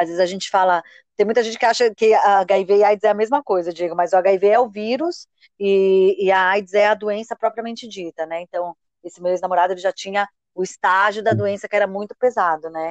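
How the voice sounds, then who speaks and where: A woman's plain, everyday voice at medium pitch, with fairly even intonation and a fairly quick pace. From Brazil, São Paulo. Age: 30s. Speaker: author and marketing professional living with HIV. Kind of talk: podcast interview, personal testimony.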